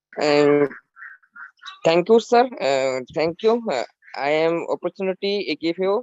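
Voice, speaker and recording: A man with a Bangladeshi accent and a high pitch, fairly slow, with long, frequent pauses. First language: Bengali. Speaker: community member sharing feedback. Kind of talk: webinar greeting. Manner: halting, many hesitations.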